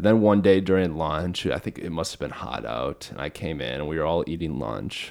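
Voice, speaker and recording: A man's very deep, low voice with vocal fry, fairly quick, with lively intonation. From Minnesota, US. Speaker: podcast host. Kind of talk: casual interview conversation; scripted introduction. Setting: warehouse with microphones.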